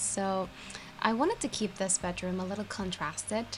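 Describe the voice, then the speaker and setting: A woman with a medium pitch speaks at a moderate pace while noticeable background noise continues. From Turkey. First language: Turkish. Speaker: gaming youtuber. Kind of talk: voiceover commentary. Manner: casual, hesitant with fillers.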